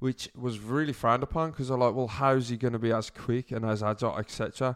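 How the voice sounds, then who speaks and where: A man with a British accent, medium pitch and ordinary pitch variation, in a very clean recording with a silent background. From UK. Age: 20s. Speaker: podcast host. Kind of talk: casual monologue.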